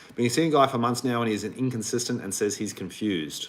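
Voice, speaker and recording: Speaking at a very fast pace, the man uses a medium pitch with ordinary pitch variation. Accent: Australian. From Australia. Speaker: relationship coach. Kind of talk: livestream Q&A. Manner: casual.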